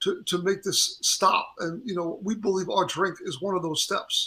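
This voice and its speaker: With a raised, projected voice, a man speaks at a high pitch. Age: 60s. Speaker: drink company founder and musician. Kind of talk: interview. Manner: halting, many false starts.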